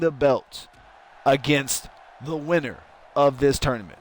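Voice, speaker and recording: At a fairly slow pace, a man with a fairly high pitch delivers his words in an animated tone. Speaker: streamer doing wrestling game commentary. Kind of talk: live commentary. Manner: loud.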